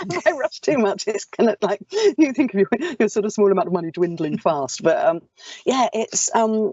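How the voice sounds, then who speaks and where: Talking fairly quickly in an English accent, a woman uses a fairly high pitch with very wide pitch swings. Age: 50s. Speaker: actor and audiobook narrator. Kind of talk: casual chat. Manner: fast.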